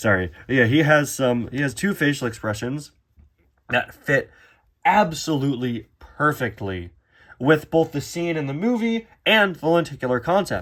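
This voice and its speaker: This man speaks at a moderate pace with very wide pitch swings, on a very clean recording with a silent background. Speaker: toy reviewer. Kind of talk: product review. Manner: halting; enthusiastic.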